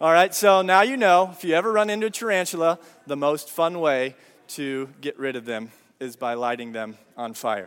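A man's fairly high, animated voice at a moderate pace, with very wide pitch swings and big shifts in loudness. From Brazil. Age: 30s. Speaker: pastor. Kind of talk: sermon.

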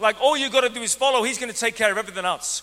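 Over noticeable background noise, a man uses a raised, projected voice at an extremely high pitch, with an animated, whiny tone. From Ireland. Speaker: pastor. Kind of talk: energetic church sermon, lively evangelical preaching to a congregation. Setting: church service with live congregation. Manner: animated, conversational preaching, acting out excuses in a mock-whiny voice; repeated self-corrections and stammered restarts.

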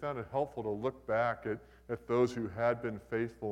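This is a natural reading voice. Its intonation stays fairly even.

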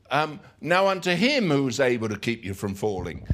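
The speaker has an English accent and very wide pitch swings. The recording is very clean, with a silent background. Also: man. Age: 60s. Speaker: pastor. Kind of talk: sermon. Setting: church. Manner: halting.

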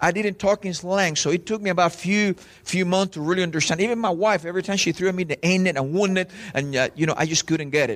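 At a very fast pace, a man with a Latin American accent speaks in a high pitch with a passionate, animated tone, ordinary pitch variation and very even loudness. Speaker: visiting preacher. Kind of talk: sermon. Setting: church with audience. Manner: fast talker.

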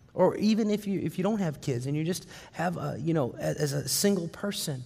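This man has a dark, mellow tone with vocal fry, a fairly high pitch, ordinary pitch variation and a moderate pace. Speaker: preacher. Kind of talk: sermon; guided visualization. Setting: church with congregation. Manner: halting, conversational.

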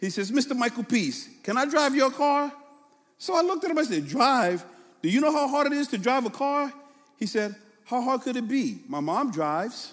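A man speaks at an extremely high pitch with lively intonation over noticeable background noise. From New York City, Brooklyn. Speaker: pastor. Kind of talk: sermon. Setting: church. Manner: fast.

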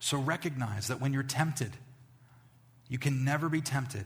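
A man with an American accent speaks in a somewhat breathy voice with ordinary pitch variation, and audible room echo surrounds him. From New York, Long Island. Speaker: pastor. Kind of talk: sermon. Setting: church.

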